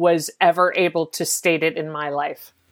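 A woman with an American accent and a fairly low pitch, on a very clean recording against a silent background. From US South. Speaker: TV writer and showrunner. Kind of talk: interview.

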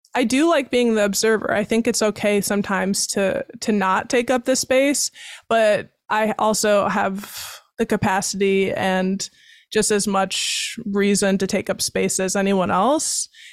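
On a very clean recording with a silent background, a woman with an American accent speaks fairly slowly in an unremarkable speaking voice, at medium pitch with fairly even intonation. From Wisconsin (Baraboo). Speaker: podcast host. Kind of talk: casual interview; scripted show intro and outro. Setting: studio.

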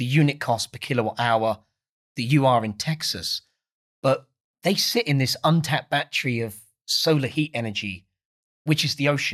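The recording is very clean, with a silent background. A man with an Essex accent speaks at a fairly slow pace and a fairly high pitch. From Essex, England. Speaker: founder of an ocean energy company. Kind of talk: casual interview chat.

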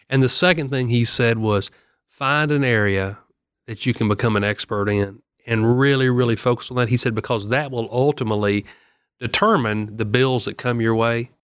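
A man with a Southern US accent, medium-pitched and fairly even in intonation, at a moderate pace on a very clean recording with a silent background. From Middle Tennessee (Murfreesboro). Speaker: state senator and pharmacist. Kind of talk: casual chat.

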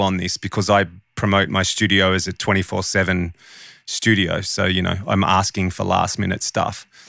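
On a very clean recording with a silent background, a man speaks at a moderate pace in a fairly low voice with a bright, sharp tone. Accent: Australian. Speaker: audio engineer and podcast co-host. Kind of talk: casual chat.

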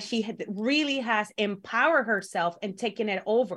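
A woman with a Spanish accent speaks at a moderate pace in a fairly high voice with ordinary pitch variation. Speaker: pro wrestler and co-host. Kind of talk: casual chat. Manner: halting.

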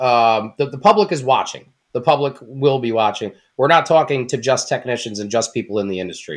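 An unremarkable speaking voice from a man at medium pitch, lively in intonation, fairly quick with hardly any pauses, on a very clean recording with a silent background. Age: 30s. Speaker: mobile auto mechanic. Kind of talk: casual chat.

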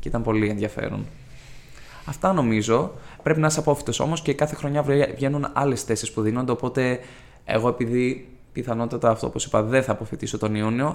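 A man with an unremarkable speaking voice talks at a medium pitch and fairly quick pace, with ordinary pitch variation. The recording is very clean, with a silent background. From Greece, Ioannina (Epirus). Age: 20s. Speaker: law student. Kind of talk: casual interview.

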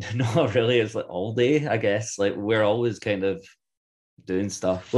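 With a Scottish accent, a man speaks at a fairly low pitch and a fairly slow pace, with ordinary pitch variation. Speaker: band member. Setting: podcast interview.

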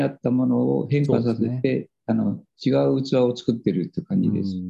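The tone of this man's voice is dark and mellow. He speaks at a moderate pace. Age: 70s. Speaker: spiritual teacher and author. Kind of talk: casual interview. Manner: halting.

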